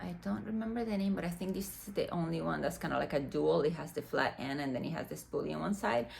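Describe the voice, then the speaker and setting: A woman with a Dominican accent. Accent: Dominican Spanish accent, rolled R's. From Dominican Republic. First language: Spanish. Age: 40s. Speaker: fashion and beauty vlogger. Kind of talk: unboxing vlog. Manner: casual, many fillers.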